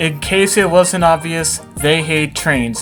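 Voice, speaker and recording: A fairly high-pitched male voice with fairly even intonation at a very slow pace, with music in the background. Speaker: railfan video narrator. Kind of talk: travel video narration outtakes. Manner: hesitant, halting.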